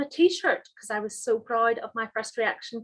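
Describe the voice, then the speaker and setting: A woman with a Northern Irish accent speaks at a moderate pace on a very clean recording with a silent background. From Northern Ireland, Holywood. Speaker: chemistry professor. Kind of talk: lecture. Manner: halting, many fillers.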